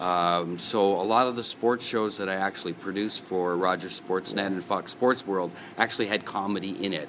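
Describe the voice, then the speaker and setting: An ordinary speaking voice at a moderate pace, fairly even in intonation, with hardly any pauses. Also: man, fairly low pitch for a man. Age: 60s. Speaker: comedian and author. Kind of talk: radio interview.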